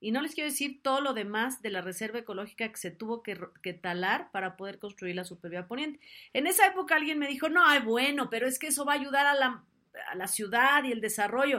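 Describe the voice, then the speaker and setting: In a Mexican accent, the voice runs at a very fast pace with an animated, bright, sharp tone and very wide pitch swings. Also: woman, high pitch for a woman, big swings in loudness, very clean recording, silent background. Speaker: talk show host. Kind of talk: casual chat. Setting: live stream.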